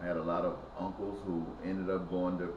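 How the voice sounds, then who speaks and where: A man with a Mississippi accent talks at a moderate pace in a very deep, low pitch. Noticeable background noise and audible room echo are present. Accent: Southern US (Mississippi). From US South, Mississippi Delta. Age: 60s. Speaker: activist. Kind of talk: personal testimony. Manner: halting.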